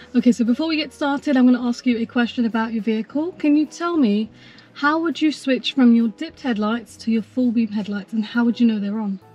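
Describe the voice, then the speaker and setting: A woman speaks very fast at a high pitch. The sound is dry with no echo, and faint music plays in the background. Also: ordinary pitch variation. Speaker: driving instructor. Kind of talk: instructional briefing. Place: car. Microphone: camera far.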